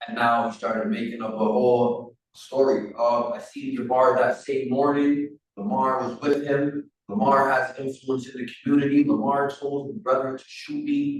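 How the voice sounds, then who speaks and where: Here is an ordinary speaking voice from a man at a medium pitch. He talks at a moderate pace with ordinary pitch variation. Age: 30s. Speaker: prisoner telling his life story. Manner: casual, conversational.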